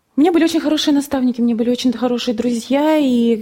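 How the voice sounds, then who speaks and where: Her pitch high, a woman speaks with ordinary variation in it. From Russia, Nizhny Novgorod region. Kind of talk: testimony. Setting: studio.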